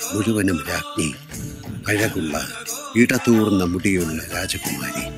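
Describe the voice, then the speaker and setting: A man speaks in a fairly low voice. Music is playing in the background. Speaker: narrator. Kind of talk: stage play narration. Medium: stage.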